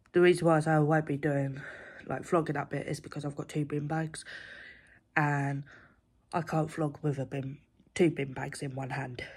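A woman speaks at a moderate pace with a very deep, low pitch and a flat, monotone delivery. Her voice is somewhat breathy, with long, frequent pauses over a quiet background. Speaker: vlogger. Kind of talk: casual vlog chat. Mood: jokey, relaxed. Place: home room. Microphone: phone near.

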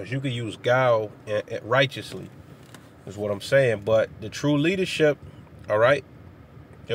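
Over light background noise, a man speaks at a moderate pace, the sound dry with no echo. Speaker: religious teacher. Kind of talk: informal sermon. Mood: earnest, relaxed. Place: car. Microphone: phone near.

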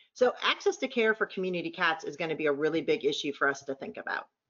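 A woman talks at a very fast pace with a fairly low pitch. Her intonation is lively. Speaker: conference speaker, veterinary business partner. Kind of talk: presentation. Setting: online conference call. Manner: fast talker.

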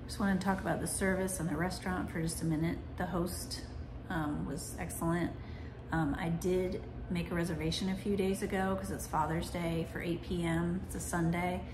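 Against noticeable background noise, a woman speaks at a moderate pace in a fairly low voice with fairly even intonation. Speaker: food reviewer. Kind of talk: casual vlog chat. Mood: relaxed, evaluative. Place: home room. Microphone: phone near.

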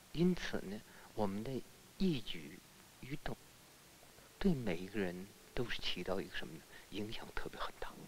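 Taking long, frequent pauses, a man talks at a moderate pace with very wide pitch swings amid noticeable background noise. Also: fairly low pitch for a man. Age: 60s. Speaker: schoolteacher. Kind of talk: interview.

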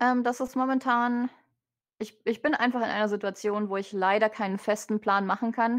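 A woman speaks in a normal speaking voice, fairly high in pitch, against a quiet background. Her pace is moderate and her intonation fairly even. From Germany. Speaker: vtuber. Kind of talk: interview.

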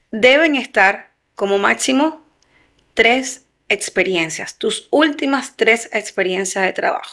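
With a bright, sharp tone and lively intonation, the speaker goes at a very slow pace over a quiet background. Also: woman. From Venezuela. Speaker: human resources consultant; guest. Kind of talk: interview. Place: studio. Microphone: studio mic.

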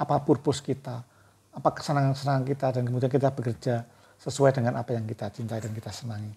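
This man's voice is somewhat breathy with a dark, mellow tone and fairly even intonation. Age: 50s. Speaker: book reviewer and author; book reviewer. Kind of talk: book review monologue. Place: home room. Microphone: lapel.

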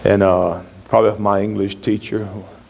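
Speaking in a Southern US accent, a man keeps a fairly low pitch and a fairly quick pace. His intonation is monotone and flat. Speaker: pastor. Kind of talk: sermon.

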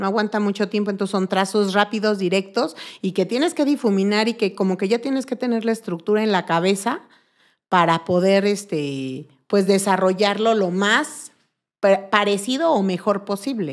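Medium-pitched woman at a moderate pace with ordinary pitch variation, over a quiet background. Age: 40s. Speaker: make-up artist and body painter; podcast guest. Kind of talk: casual chat. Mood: warm, enthusiastic. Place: studio. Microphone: studio mic.

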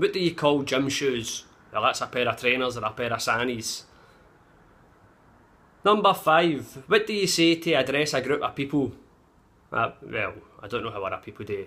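A man with a Glaswegian accent speaks in a bright, sharp tone at a fairly high pitch. His moderate pace is broken by long, frequent pauses. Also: lively intonation. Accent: Glaswegian Scottish. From Glasgow, Scotland. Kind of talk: casual talk to camera. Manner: profane, blunt. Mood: cheeky, sweary, animated. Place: home room. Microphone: phone near.

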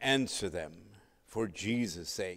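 The setting is quiet. The speaker is a man. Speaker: pastor. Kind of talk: sermon. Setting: church. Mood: solemn, reverent. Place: church.

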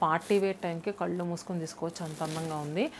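Spoken at a very fast pace, the delivery keeps a fairly even intonation. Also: woman, fairly low pitch for a woman.

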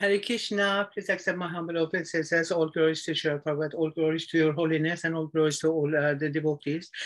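The delivery is very fast with fairly even intonation, set against a quiet background. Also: woman, fairly low pitch for a woman. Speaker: devotee asking questions. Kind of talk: question in online religious class. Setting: video call. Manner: halting. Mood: hesitant, polite, apologetic. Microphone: video call.

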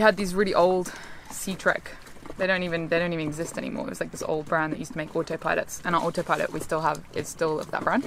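Noticeable background noise sits under a woman speaking at a very fast pace and a fairly low pitch, the sound dry with no echo. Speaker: sailing vlogger. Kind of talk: casual vlog chat. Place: boat. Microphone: phone near.

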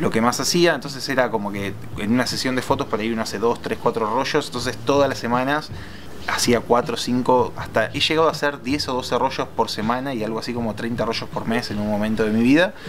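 With an Argentine accent, a man speaks fairly quickly at a medium pitch with ordinary pitch variation over noticeable background noise. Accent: Rioplatense Argentine Spanish. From Argentina. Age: 20s. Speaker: photographer and film lab technician; interviewee. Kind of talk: interview storytelling. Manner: hesitant with many fillers. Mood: relaxed, storytelling. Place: garden.

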